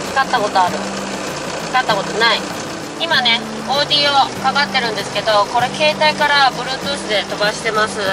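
Loud background noise surrounds a man who speaks at a moderate pace with long, frequent pauses. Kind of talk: casual vlog chat. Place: car. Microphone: phone near.

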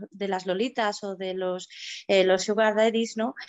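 Against a quiet background, a woman talks fairly quickly in a fairly high pitch. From Spain. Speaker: journalist and author; journalist. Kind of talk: interview answer. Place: home room. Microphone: phone near.

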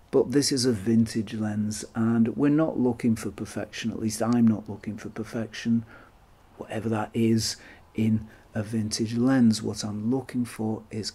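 A man's dark, mellow voice at a moderate pace, in a flat, monotone delivery. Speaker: camera lens reviewer. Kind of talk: tutorial review talk. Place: home room.

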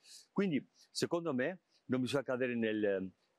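Against a quiet background, a man of medium pitch speaks at a moderate pace with lively intonation, the sound dry with no echo. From Spain. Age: 50s. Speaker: cardinal and bishop; bishop. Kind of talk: interview. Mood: calm, reflective. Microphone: lapel.

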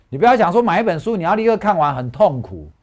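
A man speaks in an animated tone, his pitch swinging very widely. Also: quiet background. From Taiwan. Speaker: stock market analyst; stock market analyst host. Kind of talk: casual chat. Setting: studio. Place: studio. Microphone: lapel.

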